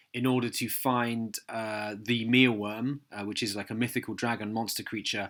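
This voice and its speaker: The recording is very clean with a silent background. A man speaks at a moderate pace and medium pitch, with monotone, flat intonation. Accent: English. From southern England, Hampshire. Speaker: fantasy author. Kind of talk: radio interview. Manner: halting, many fillers.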